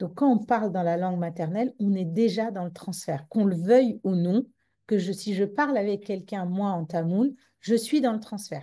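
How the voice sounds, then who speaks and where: With a Tamil accent, a woman speaks at medium pitch and a moderate pace, her tone dark and mellow. Her pitch varies in an ordinary way against a quiet background. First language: Tamil (speaking French). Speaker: psychologist. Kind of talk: conference talk. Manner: halting with many repetitions.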